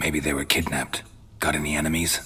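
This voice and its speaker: A man does a put-on character voice, very deep, low and raspy, in a deadpan tone. He talks at a very fast pace over clear background noise. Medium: video game. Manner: terse, deadpan.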